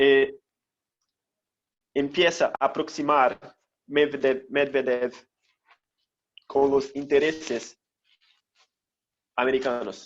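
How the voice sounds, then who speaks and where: With a Brazilian accent, a man speaks very slowly in a fairly high pitch, with monotone, flat intonation, very even loudness and long, frequent pauses. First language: Portuguese (speaking Spanish). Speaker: teacher. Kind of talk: lecture. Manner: halting.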